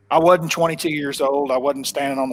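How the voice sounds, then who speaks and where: With a strong Oklahoma accent, a man speaks at a fairly high pitch with fairly even intonation. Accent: thick Oklahoma. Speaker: professional bass angler. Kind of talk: casual interview chat. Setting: home office, live stream call.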